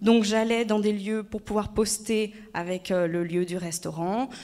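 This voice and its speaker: Moderately paced speech from a woman, fairly high-pitched with ordinary pitch variation, amid audible room echo. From France, Haute-Savoie. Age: 30s. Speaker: former actress and public speaker. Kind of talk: conference talk. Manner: hesitant, many fillers.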